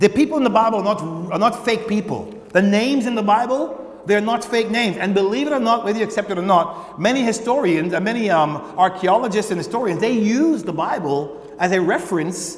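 A man at a fairly quick pace with hardly any pauses and audible room echo. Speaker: pastor preaching. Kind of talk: sermon. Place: church. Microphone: lapel.

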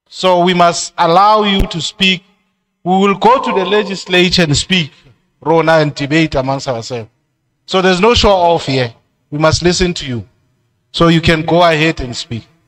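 With a Lesotho accent, a man speaks at a moderate pace in a high pitch against a quiet background. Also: ordinary pitch variation. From South Africa (Free State). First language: Sesotho. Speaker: committee chairperson. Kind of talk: chairing a public hearing. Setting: community hall public hearing. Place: hall. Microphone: handheld.

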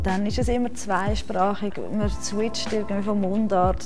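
Clear background music behind a woman speaking at a moderate pace. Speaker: secondary school teacher. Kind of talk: interview answer. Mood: warm, relaxed, positive. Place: hall.

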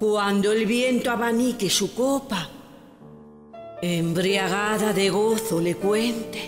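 Music plays behind a woman speaking at a very slow pace. Her loudness stays very even, and her pitch varies in an ordinary way. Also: fairly high pitch for a woman. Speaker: poetry reciter. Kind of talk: poetry reading.

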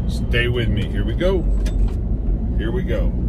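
Loud background noise fills the clip. The speaking pace is fairly slow. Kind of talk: casual vlog commentary. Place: car. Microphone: phone near.

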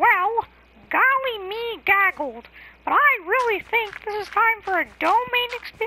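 A put-on character voice at an extremely high pitch, delivered at a fairly slow pace. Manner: cheerful, goofy.

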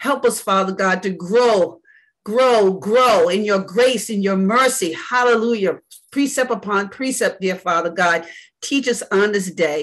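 A woman with a warm tone speaks fairly slowly, with ordinary pitch variation, against a quiet background. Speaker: church elder leading Bible study. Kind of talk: Bible study teaching with opening prayer. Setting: video call. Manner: fervent, preacherly, with frequent praise; warm, conversational, halting with fillers. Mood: fervent, reverent. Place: home room. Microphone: video call.

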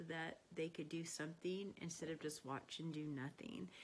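There is light background noise as a woman talks in a fairly low pitch with flat, monotone intonation. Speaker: emergency care instructor. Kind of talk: personal testimonial, casual talk. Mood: warm, reflective. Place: home room. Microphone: phone near.

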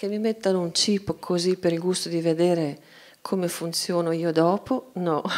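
A woman's fairly low, ordinary speaking voice at a moderate pace, with fairly even intonation: an ordinary speaking voice. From Italy. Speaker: cartoonist; guest. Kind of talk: panel discussion. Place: hall. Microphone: handheld.

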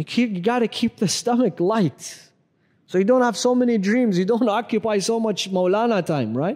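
Against a quiet background, a man speaks in a high voice with ordinary pitch variation. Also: moderate pace. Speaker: Islamic scholar giving a Ramadan lecture. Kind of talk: religious lecture to a live audience. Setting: mosque, live lecture. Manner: conversational, humorous. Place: church. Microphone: lapel.

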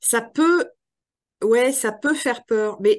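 Speech comes at a very slow pace with lively intonation over a quiet background. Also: woman. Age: 50s. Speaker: trainer and author. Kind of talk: interview conversation.

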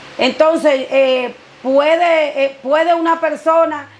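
A woman with a high pitch speaks at a very slow pace, with ordinary pitch variation. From Dominican Republic. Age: 50s. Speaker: blind woman sharing migration story; interviewee. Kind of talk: interview testimony. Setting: her home. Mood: earnest, faith-filled, emotional. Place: home room.

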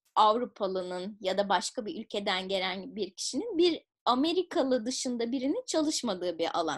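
A woman's high-pitched voice with very wide pitch swings against a quiet background. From Turkey, Izmir; Turkey. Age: 30s. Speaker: public policy researcher and entrepreneur; interviewee. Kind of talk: interview. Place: home room. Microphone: webcam.

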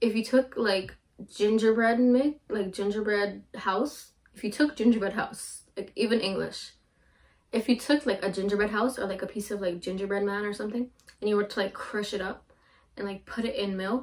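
Over a quiet background, a woman speaks at a moderate pace. Her pitch variation is ordinary. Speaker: drink reviewer. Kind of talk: casual vlog chat. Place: home room. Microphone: camera far.

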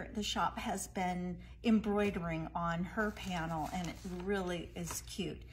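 A woman speaks at a fairly slow pace. Light background noise can be heard. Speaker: presenter. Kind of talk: product showcase live stream. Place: shop. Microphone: phone near.

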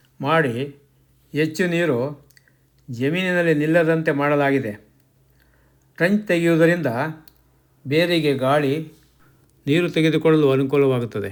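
Here a man has a plain, everyday voice, fairly high in pitch, with ordinary pitch variation and very even loudness. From Mandya district, Karnataka, India. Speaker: retired official turned farmer, farming channel host. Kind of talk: scripted narration. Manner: formal.

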